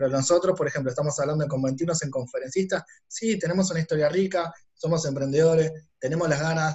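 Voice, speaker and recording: This man has a normal speaking voice at a fairly high pitch. He talks at a fairly quick pace with fairly even intonation. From Argentina, Buenos Aires west zone (Ituzaingó). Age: 30s. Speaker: entrepreneur and business consultant. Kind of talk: casual interview conversation.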